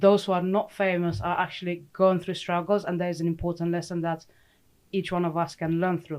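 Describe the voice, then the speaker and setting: A woman with a Romanian accent speaks in a fairly low, monotone voice with flat intonation. The recording is very clean, with a silent background. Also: fairly quick pace. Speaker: sports psychologist. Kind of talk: casual chat.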